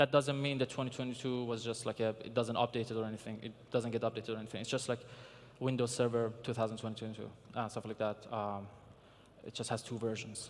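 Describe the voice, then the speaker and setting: Delivered in a flat monotone with a non-native accent, the speech moves at a very fast pace. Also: man, medium pitch for a man. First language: not English. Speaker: security researcher, conference speaker. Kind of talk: conference talk. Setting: stage with audience. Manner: hesitant, many fillers.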